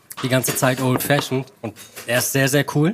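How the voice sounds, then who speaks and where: A man amid noticeable background noise. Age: 30s. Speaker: advertising creative on a podcast date. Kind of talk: casual chat.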